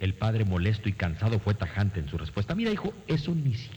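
This is plain reading aloud. The text is read without any added style.

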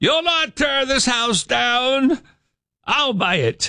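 A man's put-on character voice, extremely high in pitch, at a very slow pace. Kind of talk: 1920s old-fashioned. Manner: defiant.

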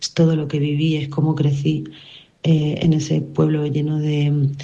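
Strong room echo carries a woman's low, dark, mellow voice as she speaks at a fairly slow pace with monotone, flat intonation.

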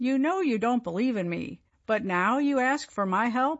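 Someone speaks in a put-on character voice at a moderate pace. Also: woman, high pitch for a woman. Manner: rebuking, commanding.

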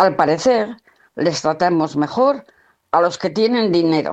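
With lively intonation, a woman speaks at a fairly low pitch in a slightly mellow tone. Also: fairly slow pace.

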